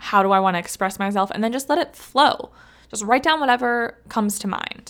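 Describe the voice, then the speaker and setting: This woman has an ordinary speaking voice at medium pitch, with a General American accent and ordinary pitch variation. The recording is very clean, with a silent background. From Ohio, US Midwest. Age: 20s. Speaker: podcast host. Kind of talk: solo motivational talk.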